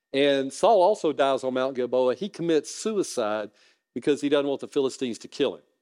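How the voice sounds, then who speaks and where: With a Southern US accent, a man talks at a fairly quick pace in a fairly high voice with lively intonation. The sound is dry and close, with no echo. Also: big swings in loudness. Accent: Southern US (Georgia). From US South, North Georgia. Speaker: guest preacher, lawyer. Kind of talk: sermon.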